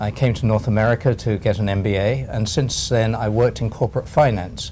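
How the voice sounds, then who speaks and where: A man with an English accent, medium pitch, fairly even intonation and fairly quick pace, over noticeable background noise. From England. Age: 70s. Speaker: retired accountant and LinkedIn consultant. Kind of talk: interview.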